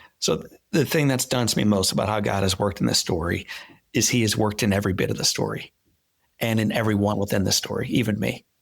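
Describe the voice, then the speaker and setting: A man with an American accent and vocal fry, very fast pace, ordinary pitch variation, very clean recording with a silent background. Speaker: motivational speaker. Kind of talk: interview. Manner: halting; animated.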